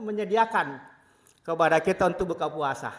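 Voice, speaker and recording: A man is talking. His intonation is lively. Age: 60s. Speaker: Islamic preacher. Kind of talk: sermon.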